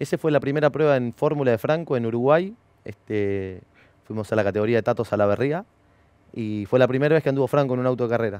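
Speaking at a very fast pace with a Rioplatense accent, a man shows ordinary pitch variation in a dry sound with no echo. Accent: Argentine Spanish (rioplatense). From Argentina, Bahía Blanca; Argentina. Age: 30s. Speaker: former racing driver and driver coach; driver coach. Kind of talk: interview. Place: studio. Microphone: headset.

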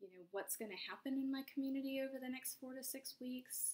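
Speaking at a fairly quick pace, a woman is heard. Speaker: vlogger. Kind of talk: casual vlog chat. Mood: anxious, reflective, subdued. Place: home room. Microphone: webcam.

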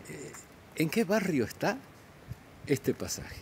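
A man's somewhat breathy voice with very wide pitch swings, over light background noise. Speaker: walking street vlogger. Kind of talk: casual vlog chat. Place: street. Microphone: phone near.

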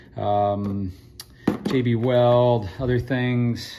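Male speaker amid noticeable background noise. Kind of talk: casual tour commentary. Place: garage. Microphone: phone near.

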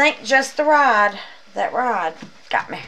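Moderate-paced speech from a woman. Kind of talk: casual vlog chat. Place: home room. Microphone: camera far.

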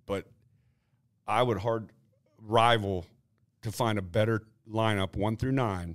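Over a quiet background, a man with an American accent speaks at a fairly slow pace and fairly low pitch, with fairly even intonation and long, frequent pauses. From Ohio, US Midwest. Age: 50s. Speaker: retired baseball pitcher; guest. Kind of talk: casual interview chat. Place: meeting room. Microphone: studio mic.

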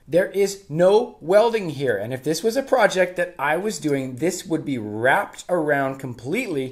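This man has a fairly high pitch and lively intonation. He talks at a fairly slow pace.

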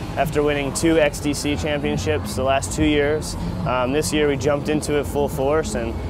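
There is noticeable background noise behind a man with ordinary pitch variation. The sound is dry, with no echo. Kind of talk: interview answer. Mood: upbeat, proud. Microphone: lapel.

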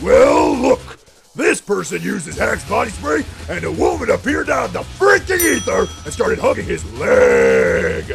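A raspy man in a put-on character voice at a moderate pace, with faint music in the background. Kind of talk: parody TV commercial. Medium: cartoon. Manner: loud, brash, fast.

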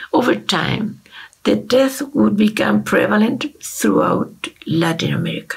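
Over a quiet background, a woman speaks at a fairly slow pace with a Spanish accent. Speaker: ethnomusicology researcher. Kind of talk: lecture. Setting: video call. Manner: formal. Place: home room. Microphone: webcam.

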